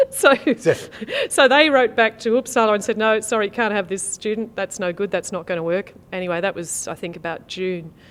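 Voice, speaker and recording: At a fairly quick pace, a woman with an Australian accent talks at a medium pitch with ordinary pitch variation. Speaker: federal member of parliament, interview guest. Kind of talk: interview answer.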